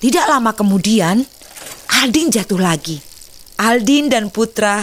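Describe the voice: The clip is plain reading aloud. Nothing else is marked.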